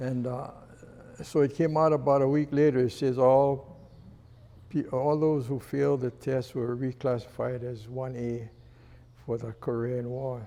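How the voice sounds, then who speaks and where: Speaking slowly, fairly so, a man with a Hawaiian accent holds a medium pitch and fairly even intonation in a dark, mellow tone. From Hawaii, Honolulu. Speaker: retired fire chief. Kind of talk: interview storytelling. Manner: halting, with fillers.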